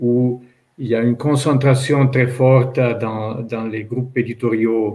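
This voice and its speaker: A man with an Italian accent speaks at a medium pitch and a fairly slow pace. His voice is somewhat breathy, with fairly even intonation. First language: Italian (speaking French). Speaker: publisher. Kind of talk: panel discussion. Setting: online panel event. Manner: halting, many hesitations.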